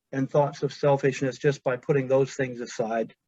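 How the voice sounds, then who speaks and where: A man talks in a somewhat breathy voice with monotone, flat intonation. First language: Pennsylvania Dutch. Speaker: hospital chaplain. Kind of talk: webinar presentation. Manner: conversational, with filler 'uh, um'.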